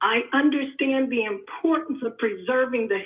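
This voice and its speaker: An American-accented woman with a high voice speaks at a moderate pace. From New York. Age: 70s. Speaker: caller, family historian. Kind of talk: testimony.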